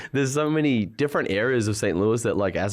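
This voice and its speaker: A man with an Australian accent speaks at a very fast pace. Pitch variation is ordinary, and the recording is very clean with a silent background. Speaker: clothing brand founder. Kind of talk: casual chat. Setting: studio.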